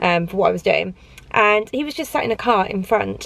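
A woman talks at a very fast pace. The sound is dry with no echo. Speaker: lifestyle vlogger. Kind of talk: casual vlog chat. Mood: chatty, amused, a bit indignant. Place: car. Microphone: phone near.

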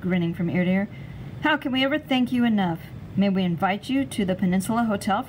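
What you hear is a natural reading voice.

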